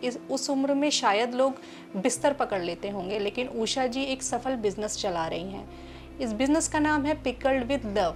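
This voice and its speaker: Music plays in the background as a woman talks in a high pitch. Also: lively intonation. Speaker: interviewer and narrator.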